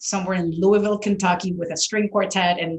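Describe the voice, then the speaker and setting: A woman speaks in a Spanish accent. Her pitch variation is ordinary. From Venezuela (Caracas). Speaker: orchestral violist. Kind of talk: interview conversation.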